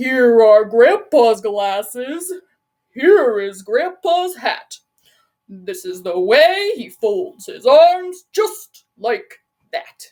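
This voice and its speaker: A woman uses a put-on character voice, high-pitched and with very wide pitch swings. She speaks at a very slow pace. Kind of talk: children's storytime. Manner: silly.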